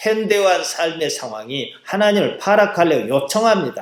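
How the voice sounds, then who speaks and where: A man is speaking. His pace is moderate. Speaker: pastor, preacher. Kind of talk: sermon.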